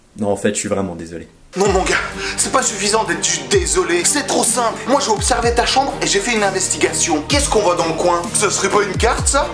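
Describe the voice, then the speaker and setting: The man's pace is fairly quick. Behind him, clear music can be heard. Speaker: comedian youtuber. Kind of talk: casual vlog chat reacting to fan jokes. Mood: joking, playful. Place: home room.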